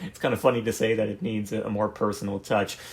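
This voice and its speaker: A fairly low-pitched male voice comes through on a very clean recording with a silent background. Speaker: comedy content creator. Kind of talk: casual rambling monologue. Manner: unpolished, hesitant, many fillers.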